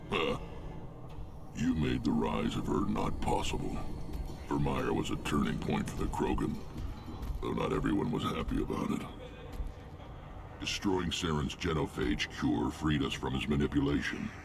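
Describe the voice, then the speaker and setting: Against loud background noise, a man uses a put-on character voice at a moderate pace, broken by long, frequent pauses. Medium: video game. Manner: gruff, blunt.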